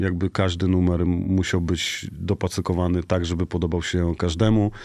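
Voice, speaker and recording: A man with a very deep, low voice and a dark, mellow tone speaks at a fairly quick pace with very even loudness and hardly any pauses over a quiet background. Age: 40s. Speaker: DJ and music producer. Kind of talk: casual chat.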